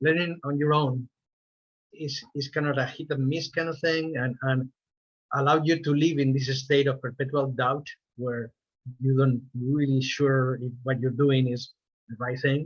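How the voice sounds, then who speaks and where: A fairly high, somewhat breathy male voice with a Spanish accent, monotone and flat, at a fairly slow pace. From Spain. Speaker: animator. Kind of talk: interview. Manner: halting, with frequent repetitions.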